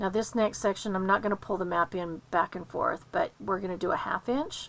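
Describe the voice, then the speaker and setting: A woman's plain, everyday voice at medium pitch, with ordinary pitch variation and a fairly quick pace. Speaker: papercraft instructor. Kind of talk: tutorial.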